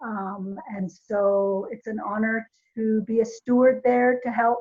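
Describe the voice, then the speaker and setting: A woman with a Navajo Nation accent, fairly high pitch, fairly even intonation and a very slow pace. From Navajo Nation, US Southwest. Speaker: volunteer trainer. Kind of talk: training presentation. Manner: hesitant, many fillers.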